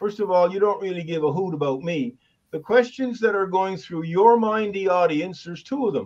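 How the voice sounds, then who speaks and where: Here a man speaks in a high pitch at a moderate pace, with lively intonation. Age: 70s. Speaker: author and professional Santa. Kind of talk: presentation.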